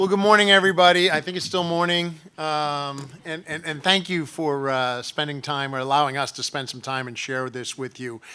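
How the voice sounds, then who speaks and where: Heard on a very clean recording with a silent background, a man with an American accent speaks at a moderate pace in a fairly high voice, with a bright, sharp tone and ordinary pitch variation. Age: 60s. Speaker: state legislator. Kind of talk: conference speech. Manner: halting, many fillers.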